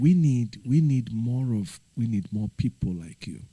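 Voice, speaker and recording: With a dark, mellow tone, a man speaks at a medium pitch and a very slow pace, his intonation lively. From Nigeria. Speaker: livestreamer. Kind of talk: casual livestream chat. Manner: earnest, pleading.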